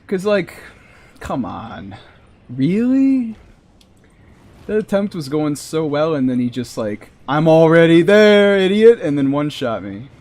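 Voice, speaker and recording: A man's fairly high voice at a fairly slow pace, with very wide pitch swings, long, frequent pauses and noticeable background noise. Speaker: game streamer. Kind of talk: live gameplay commentary. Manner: animated.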